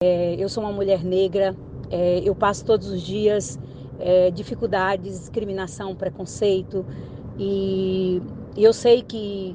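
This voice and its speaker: Noticeable background noise sits behind a woman speaking at a medium pitch. Her pace is fairly slow and her intonation fairly even. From Tocantins, central Brazil. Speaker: university administrator and professor. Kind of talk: interview. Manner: hesitant, many fillers.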